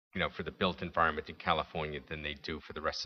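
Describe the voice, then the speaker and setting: A man with a New York accent. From New York City. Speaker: panelist. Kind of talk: panel discussion. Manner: halting.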